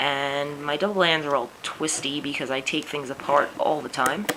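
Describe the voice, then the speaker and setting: Against noticeable background noise, a woman in a New York accent talks at a fairly slow pace. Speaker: teacher and craft tutorial maker. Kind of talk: tutorial.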